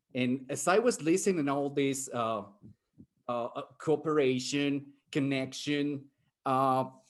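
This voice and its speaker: Speaking with a Spanish accent, a man uses a fairly high pitch and ordinary pitch variation. He goes at a fairly slow pace with long, frequent pauses against a quiet background. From Mexico. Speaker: professor, futurist panelist. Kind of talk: panel discussion.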